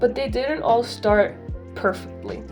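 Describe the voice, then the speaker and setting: A woman speaks at a moderate pace while music plays behind her. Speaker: digital artist. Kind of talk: casual voiceover over speedpaint.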